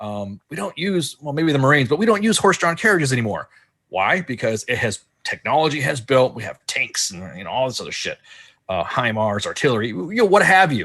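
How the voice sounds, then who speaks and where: Over a quiet background, a man with a fairly high pitch, a bright, sharp tone and vocal fry talks at a fairly quick pace with very wide pitch swings. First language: Spanish. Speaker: army veteran. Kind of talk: podcast discussion. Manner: halting, many false starts.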